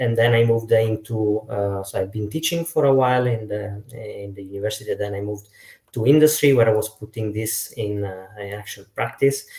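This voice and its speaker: With an Italian accent, a man speaks at a fairly quick pace in a fairly low, somewhat breathy voice with fairly even intonation and big swings in loudness, on a very clean recording with a silent background. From Italy. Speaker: data science lead. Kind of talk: panel discussion.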